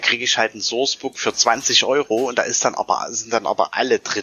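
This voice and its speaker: Noticeable background noise under fairly quick speech. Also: man. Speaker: tabletop gamer, fellow podcaster. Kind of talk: casual chat.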